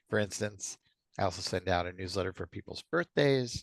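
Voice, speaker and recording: At a moderate pace and with ordinary pitch variation, the speaker talks with an American accent against a quiet background, the sound dry and close with no echo. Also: man. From US East Coast. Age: 60s. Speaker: community activist. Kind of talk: interview.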